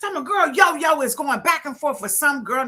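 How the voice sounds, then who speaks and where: In a raised, projected voice, a woman with a high pitch talks at a fairly quick pace in an animated tone. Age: 60s. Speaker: event promoter and live show host. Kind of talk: casual live-stream chat.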